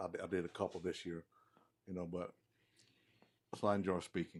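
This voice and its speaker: On a very clean recording with a silent background, a man with a Southern US accent speaks very fast in a very deep, low, monotone voice with flat intonation. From US South, Mississippi. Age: 60s. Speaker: former football player. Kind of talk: casual chat. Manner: halting.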